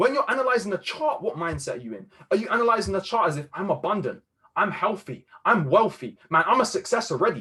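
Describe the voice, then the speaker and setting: A man's high, raised and projected voice, very fast and animated in tone, with very wide pitch swings. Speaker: trading mentor. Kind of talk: motivational talk on a group video call.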